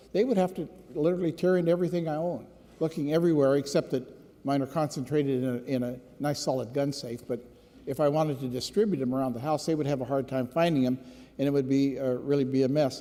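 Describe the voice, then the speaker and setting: Speaking at a very fast pace with an American accent, a man uses a fairly high pitch, ordinary pitch variation, and a dark, mellow tone. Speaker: state legislator, former police officer. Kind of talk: floor speech. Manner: unhappy, earnest.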